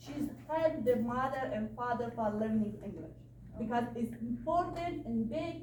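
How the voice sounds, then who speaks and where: Audible room echo and noticeable background noise surround a woman who talks at a fairly slow pace. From Afghanistan. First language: Dari or Pashto. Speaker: refugee advocate. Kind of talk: Q&A talk. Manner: halting, broken English.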